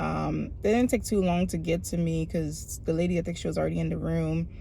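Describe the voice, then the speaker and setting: A woman speaks at a moderate pace with a Haitian accent. Audible room echo surrounds her voice. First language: Haitian Creole. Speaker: aspiring teacher, vlogger. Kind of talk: casual vlog storytelling. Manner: animated.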